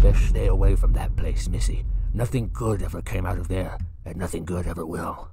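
A man puts on a raspy character voice, pitched very deep and low. He talks at a fairly quick pace. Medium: cartoon. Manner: grave, foreboding.

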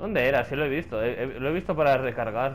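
Vocal fry marks a man's speech, which moves at a fairly slow pace amid audible room echo. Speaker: gaming youtuber. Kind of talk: let's play commentary. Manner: animated.

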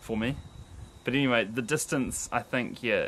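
Speech from a man, with noticeable background noise. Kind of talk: casual vlog chat. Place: garden. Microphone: phone near.

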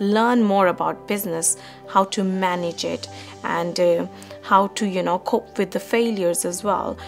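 Faint music plays in the background as a woman speaks at a fairly slow pace. Her intonation is fairly even. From Pakistan. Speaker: business management student. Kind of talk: interview answer. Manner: hesitant, many fillers. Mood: calm, reflective. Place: home room.

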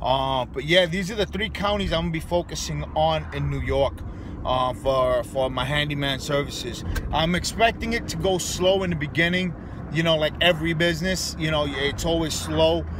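Dry sound with no echo, a man at a moderate pace, and noticeable background noise. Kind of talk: casual vlog chat. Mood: excited, a bit annoyed. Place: car. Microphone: phone near.

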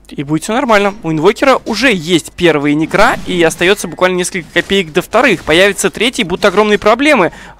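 The man's voice sits high, with a bright, sharp tone and lively intonation. He speaks with hardly any pauses in a dry, close sound with no echo. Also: fairly quick pace. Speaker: esports commentator. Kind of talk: live commentary.

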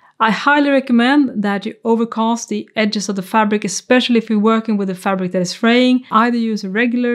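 A woman speaks at a fairly quick pace with fairly even intonation. The background is quiet. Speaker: sewing instructor. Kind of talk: tutorial. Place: home room.

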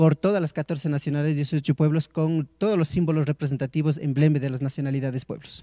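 A man's fairly high voice with a dark, mellow tone, dry and close with no echo, in a very clean recording with a silent background. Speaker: pageant organizer. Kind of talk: interview.

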